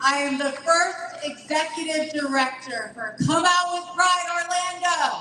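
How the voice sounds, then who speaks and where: In a room with audible echo, a woman projects a raised voice at an extremely high pitch, moving at a fairly slow pace with hardly any pauses and ordinary pitch variation. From Bolivia. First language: Spanish. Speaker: LGBTQ nonprofit director. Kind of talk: rally speech. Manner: emphatic, rousing.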